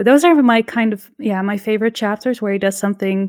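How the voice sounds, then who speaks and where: In a very clean recording with a silent background, a woman with an unremarkable speaking voice talks at a fairly quick pace and a fairly high pitch with fairly even intonation. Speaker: podcast co-host. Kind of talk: casual chat.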